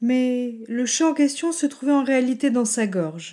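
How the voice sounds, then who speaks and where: At a very slow pace, a woman talks in a high pitch with a dark, mellow tone. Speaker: storyteller and podcast host. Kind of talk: literary audiobook reading of a fairy tale. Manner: measured, expressive storytelling narration.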